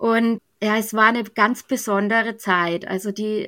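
A woman speaks with a bright, sharp tone and fairly even intonation at a fairly high pitch. The recording is very clean with a silent background. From Germany, Bavaria (Middle Franconia). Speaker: church youth training leader. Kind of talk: podcast interview.

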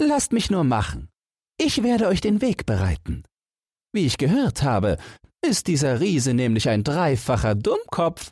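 In a very clean recording with a silent background, a man uses a fairly high put-on character voice with very wide pitch swings, a slightly husky edge and a slightly mellow tone, at a fairly slow pace.

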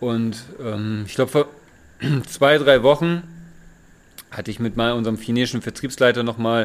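A man with a medium-pitched voice talks at a fairly quick pace, his intonation fairly even. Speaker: hydrogen industry employee. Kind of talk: casual chat. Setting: informal holiday setting by the sea. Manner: halting, many fillers.

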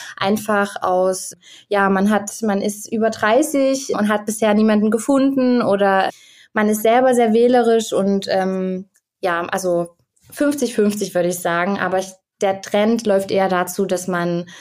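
A woman's medium-pitched voice with ordinary pitch variation, at a fairly slow pace. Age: 20s. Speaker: medical student, guest expert on Indian weddings. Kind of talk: interview. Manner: halting, many fillers.

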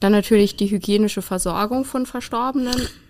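A woman with a plain, everyday voice, fairly high in pitch and fairly even in intonation, at a moderate pace on a very clean recording with a silent background. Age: young. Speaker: funeral director. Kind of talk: interview.

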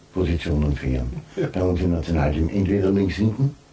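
Noticeable background noise accompanies a man who talks at a moderate pace. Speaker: former footballer and football pundit. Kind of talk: casual chat.

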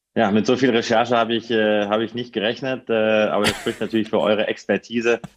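With hardly any pauses, a man talks at a very fast pace, medium in pitch and monotone, flat in intonation. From northern Hesse, Germany (near Kassel). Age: 30s. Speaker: football reporter. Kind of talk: podcast interview.

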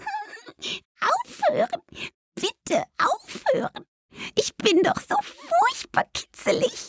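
This put-on character voice has an extremely high pitch and a very slow pace. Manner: pleading, giggly.

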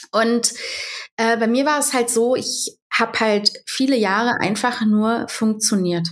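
With an unremarkable speaking voice, a woman talks at a fairly high pitch with fairly even intonation. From Berlin, Germany. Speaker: social media creator and mother. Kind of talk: interview.

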